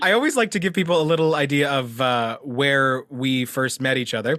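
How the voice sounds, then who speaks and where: A man's fairly high, bright and sharp voice at a moderate pace with ordinary pitch variation. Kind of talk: casual chat. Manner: talkative.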